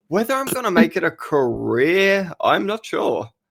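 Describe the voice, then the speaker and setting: A man is speaking. He has an Australian accent. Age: 18. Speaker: voice actor. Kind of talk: casual chat.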